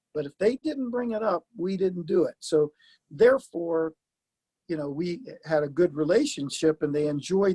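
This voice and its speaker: The speaker is a man with an ordinary speaking voice, fairly high in pitch. He goes at a moderate pace with lively intonation, in a dry, close sound with no echo. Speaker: retired football coach. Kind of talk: casual interview chat.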